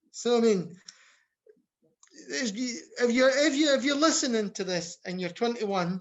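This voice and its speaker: Lively intonation at a moderate pace, with a slight Scottish accent. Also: man. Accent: Scottish, mild. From Scotland. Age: 50s. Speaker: health service researcher and academic. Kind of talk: podcast interview. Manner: halting, frequent restarts.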